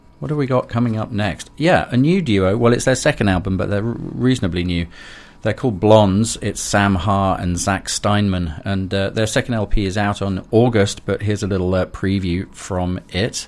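A man's fairly low voice with ordinary pitch variation and hardly any pauses, a plain, everyday voice. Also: moderate pace. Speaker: radio host. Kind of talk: radio dj patter, live electronic music show. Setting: radio studio broadcast. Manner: relaxed, chatty, friendly, with frequent filler 'uh'.

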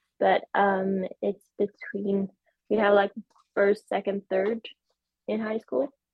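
Here is a woman with a Swedish accent. Her pitch sits in the medium range. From Sweden. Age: 20s. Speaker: para-rower and kinesiology student. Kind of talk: interview. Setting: video call.

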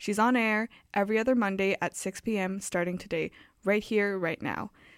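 In a normal speaking voice, a woman talks at a fairly quick pace with medium pitch and fairly even intonation, on a very clean recording with a silent background and a dry, close sound with no echo. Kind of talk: radio DJ patter, cheeky campus-radio show intro. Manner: playful, chatty, tongue-in-cheek.

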